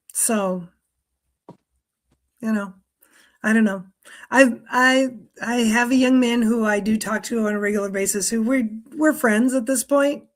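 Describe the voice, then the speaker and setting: Her pitch fairly high and intonation fairly even, a woman speaks at a fairly slow pace with long, frequent pauses. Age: 50s. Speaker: guest, school employee near retirement. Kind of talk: casual chat. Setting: live stream.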